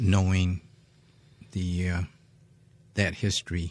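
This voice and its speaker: A man speaks at a very slow pace in a very deep, low voice, with monotone, flat intonation and a somewhat breathy quality. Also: very clean recording, silent background. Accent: American. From Seneca Nation, western New York. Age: 70s. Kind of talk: radio panel discussion. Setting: radio studio. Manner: halting.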